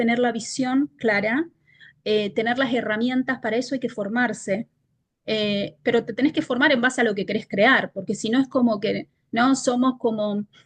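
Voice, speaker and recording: Speaking at a fairly slow pace, a woman has a high pitch and fairly even intonation. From Argentina. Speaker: leadership consultant. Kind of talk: interview.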